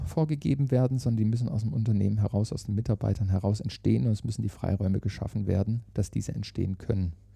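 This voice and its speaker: The voice is somewhat breathy and dark, mellow in tone, with ordinary pitch variation. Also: man. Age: 50s. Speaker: managing director of a training academy. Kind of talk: interview. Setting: meeting room at company headquarters.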